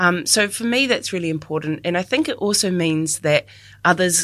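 A woman with a New Zealand accent and a fairly low pitch uses lively intonation at a moderate pace, on a very clean recording with a silent background. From New Zealand, Dunedin. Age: 30s. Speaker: communications advisor. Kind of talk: personal reflection talk.

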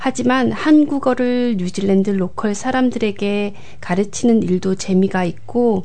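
The woman's pace is very slow. Her medium-pitched voice has lively intonation. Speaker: community coordinator and Korean language lecturer. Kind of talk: radio interview. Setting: studio.

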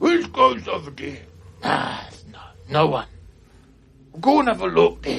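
A man performs in a put-on character voice. His pace is fairly slow, with long, frequent pauses. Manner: suspicious, barking.

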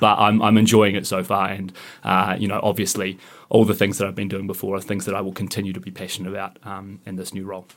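A man with a New Zealand accent talks at a very fast pace in a fairly low, monotone voice with flat intonation. His loudness swings widely on a very clean recording with a silent background. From New Zealand, Canterbury. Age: 30s. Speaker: political candidate. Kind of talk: radio interview. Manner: hesitant, many fillers.

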